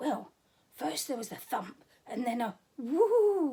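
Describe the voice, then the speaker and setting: a quiet, raspy put-on character voice with very wide pitch swings at a fairly slow pace. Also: woman, high pitch for a woman. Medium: read story. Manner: hushed, nervous.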